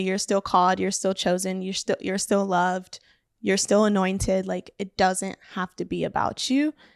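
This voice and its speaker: On a very clean, silent-background recording with a dry, close sound and no echo, a woman speaks at a moderate pace and medium pitch with fairly even intonation. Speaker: podcast host. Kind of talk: solo podcast talk. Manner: giggly, laughs often; casual, filler-heavy.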